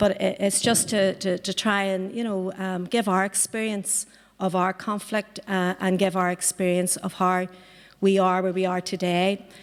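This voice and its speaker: A woman's monotone, flat delivery on a very clean recording with a silent background. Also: medium pitch for a woman, moderate pace. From Northern Ireland, Belfast. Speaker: political party member, activist. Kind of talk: panel talk. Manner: halting, many fillers and repetitions.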